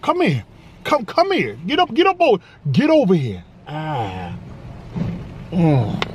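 Over light background noise, a man speaks at a fairly slow pace in an energetic, playful tone, with a dry sound and no echo. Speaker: food reviewer. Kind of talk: casual food review to camera. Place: car.

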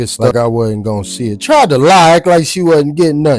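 Over faint background music, a man talks at a fairly quick pace with a dry sound that has no echo. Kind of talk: casual vlog chat. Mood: teasing, laughing. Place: street. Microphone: phone near.

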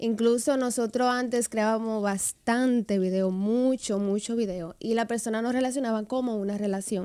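A woman's dark, mellow tone at a moderate pace, with hardly any pauses, fairly even intonation and a quiet background. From Dominican Republic, Santiago. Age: 20s. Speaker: social media influencer and dancer. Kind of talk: radio interview, casual chat. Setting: radio studio. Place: studio. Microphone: studio mic.

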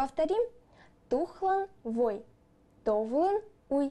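A woman with a high pitch and a dark, mellow tone, slow pace and lively intonation

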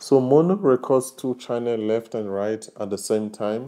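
Against a quiet background, a man speaks at a fairly slow pace with a dark, mellow tone and fairly even intonation. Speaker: tech reviewer. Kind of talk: tutorial. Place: home room. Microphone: lapel.

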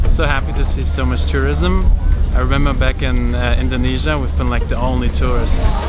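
Over loud background music, a man talks at a fairly quick pace in a dry sound with no echo. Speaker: travel vlogger. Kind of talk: casual vlog chat. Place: waterside. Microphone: phone near.

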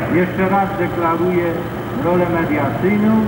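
The clip has audible room echo and loud background noise. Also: man. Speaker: priest leading mass. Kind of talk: sermon. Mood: solemn, encouraging. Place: factory. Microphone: pa.

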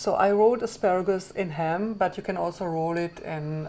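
A woman's fairly low, dark, mellow voice at a moderate pace with ordinary pitch variation. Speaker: cooking show host chef. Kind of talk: tutorial. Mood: cheerful, upbeat. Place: kitchen.

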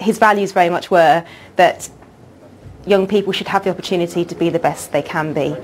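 A woman's fairly low voice at a fairly quick pace, with fairly even intonation and long, frequent pauses. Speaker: charity representative. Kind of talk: interview. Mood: calm, earnest.

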